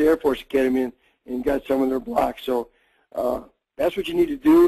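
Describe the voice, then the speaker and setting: A man's dark, mellow tone at a fairly quick pace, ordinary pitch variation, and a dry, close sound with no echo. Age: 60s. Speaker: football coach. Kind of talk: coaching clinic Q&A. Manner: halting, many fillers.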